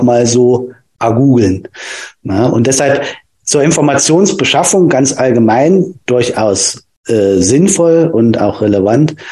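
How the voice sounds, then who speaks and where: A man's medium-pitched, dark, mellow voice at a very slow pace, lively in intonation and very even in loudness. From Germany, Thuringia (Nordhausen). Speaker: physiotherapist. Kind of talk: casual interview. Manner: halting, many fillers.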